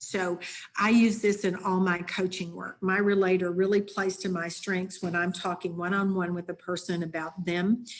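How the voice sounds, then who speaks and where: Here is a woman with a normal speaking voice at a medium pitch. She keeps a moderate pace and fairly even intonation. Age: 60s. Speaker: leadership coach and consultant. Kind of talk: webinar presentation.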